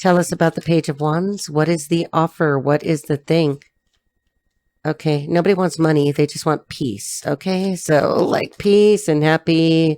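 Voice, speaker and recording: A woman with an American accent, very deep and low-pitched, dark and mellow in tone, fairly even in intonation, at a moderate pace. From Los Angeles, US. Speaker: tarot reader. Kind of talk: tarot reading.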